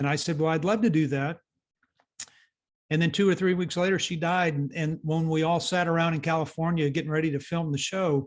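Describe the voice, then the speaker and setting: A man with a fairly high voice speaks at a fairly quick pace, his intonation fairly even and his loudness very even. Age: 60s. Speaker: youth mentor and author. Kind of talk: interview. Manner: halting, many repeated words.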